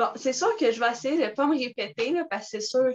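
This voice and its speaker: With a Quebec accent, a woman speaks at a fairly quick pace with ordinary pitch variation, in a dry, close sound with no echo. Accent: Québécois French. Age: 20s. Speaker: network marketing distributor. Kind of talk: casual talk on video call. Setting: video call. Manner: animated.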